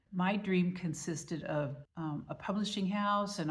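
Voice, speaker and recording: Somewhat breathy woman's voice with ordinary pitch variation and audible room echo. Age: 70s. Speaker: author and vlogger. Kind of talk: casual vlog monologue. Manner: conversational.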